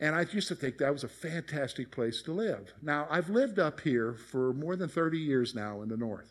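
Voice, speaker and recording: With an American accent, a man speaks at a moderate pace and a fairly high pitch, with hardly any pauses. His is an unremarkable speaking voice. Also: lively intonation. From US South, South Carolina (Columbia). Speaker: pastor. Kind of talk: sermon. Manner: conversational.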